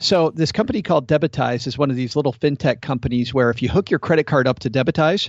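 A man speaks in an ordinary speaking voice, fairly high pitched with ordinary pitch variation. His pace is fairly quick. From Michigan. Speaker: podcast host. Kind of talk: casual chat.

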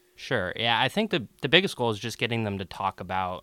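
The speaker is a man with a fairly low pitch. His tone is bright and sharp. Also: very clean recording, silent background. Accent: American. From Seattle. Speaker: law student. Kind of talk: interview.

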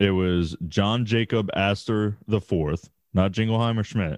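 A man's animated voice, fairly low in pitch, at a fairly slow pace with ordinary pitch variation. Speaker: podcast co-host. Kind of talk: casual banter, storytelling with profanity. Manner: animated, profane, joking.

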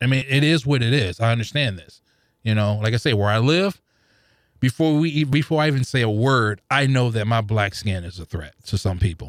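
A man uses a normal speaking voice at medium pitch and a moderate pace, with lively intonation. The recording is very clean, with a silent background. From St. Louis, Missouri. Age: 40s. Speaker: podcast listener. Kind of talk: casual chat. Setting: studio.

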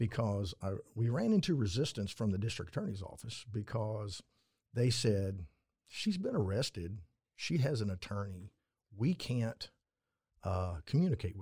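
Over a silent background in a very clean recording, a man with a fairly low pitch and a dark, mellow, somewhat breathy tone speaks at a moderate pace with lively intonation and long, frequent pauses. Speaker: retired Texas Ranger. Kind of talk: casual interview. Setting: studio, in person.

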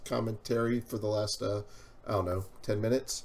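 This man speaks fairly quickly at a medium pitch, his intonation flat and monotone. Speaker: podcast host. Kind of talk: casual chat. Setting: studio.

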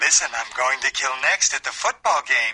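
A man puts on a character voice. He goes at a moderate pace in a dry, close sound with no echo. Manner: menacing.

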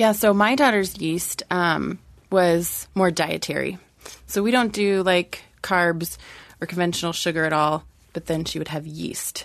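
Against a quiet background, a woman speaks in an ordinary speaking voice at a fairly low pitch. She keeps a fairly slow pace with ordinary pitch variation. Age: 20s. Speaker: childbirth educator and doula. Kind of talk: casual panel discussion.

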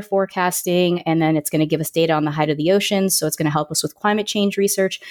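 A woman's fairly low voice in monotone, flat intonation, dry and close with no echo, on a very clean recording with a silent background. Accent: American. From Florida, Orlando. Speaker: aerospace engineer and science communicator. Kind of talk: interview podcast.

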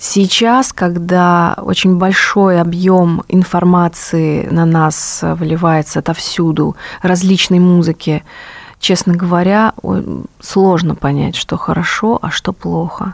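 A woman speaks very slowly in a fairly low pitch, her intonation monotone and flat. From Russia, Rostov-on-Don. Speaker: jazz singer. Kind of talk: radio interview. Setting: studio.

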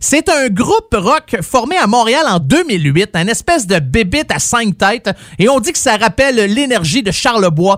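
With a Quebec accent, a man talks in an animated tone, his pitch swinging very widely. The sound is dry and close, with no echo. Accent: Québécois French. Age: 40s. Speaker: radio host. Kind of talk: radio music show.

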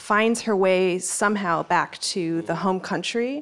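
This is a woman with an ordinary speaking voice at medium pitch and with ordinary pitch variation. She speaks at a fairly slow pace on a very clean recording with a silent background. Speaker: professor. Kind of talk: live panel discussion.

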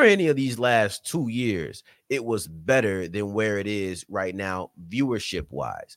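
An animated tone with an American accent at a fairly slow pace, on a very clean recording with a silent background. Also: man. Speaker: sports podcast host and writer. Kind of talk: casual chat.

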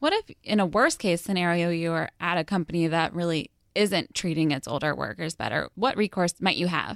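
A woman's plain, everyday voice, fairly low with ordinary pitch variation, fairly quick with hardly any pauses, on a very clean recording with a silent background and a dry, close sound with no echo. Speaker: podcast host. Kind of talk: casual chat.

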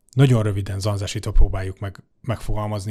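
A somewhat breathy voice comes through on a very clean recording with a silent background. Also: man. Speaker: podcast interviewer. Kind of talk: interview questions. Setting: studio.

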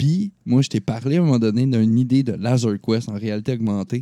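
Speaking in a Quebec accent, a man uses a dark, mellow tone at medium pitch with ordinary pitch variation and a moderate pace, in a very clean, dry, close recording with no echo and a silent background. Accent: Québécois French. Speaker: gaming podcast host. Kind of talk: casual chat.

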